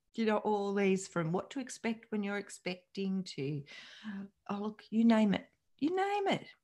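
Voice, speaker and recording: At a moderate pace, a woman speaks at a medium pitch with a dark, mellow tone and ordinary pitch variation. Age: 50s. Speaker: psychologist and podcast host. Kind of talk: solo podcast monologue.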